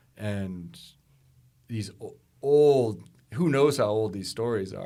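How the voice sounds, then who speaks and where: Audible room echo surrounds a man's fairly low voice. His tone is dark and mellow, with ordinary pitch variation. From Alaska. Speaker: storyteller. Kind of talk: casual chat. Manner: halting.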